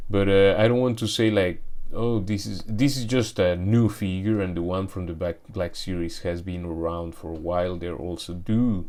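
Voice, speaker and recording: Very deep and low, a man's voice has a dark, mellow tone and ordinary pitch variation. He keeps a moderate pace with hardly any pauses, and audible room echo surrounds him. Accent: Spanish. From Mexico. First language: Spanish. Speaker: toy collector YouTuber. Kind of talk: product review unboxing. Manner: hesitant, many fillers and restarts.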